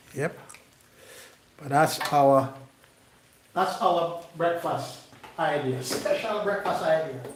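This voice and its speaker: Lively intonation from a man speaking at a very slow pace, with audible room echo. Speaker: cooking channel host. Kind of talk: live cooking demonstration. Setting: kitchen, live stream. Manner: animated.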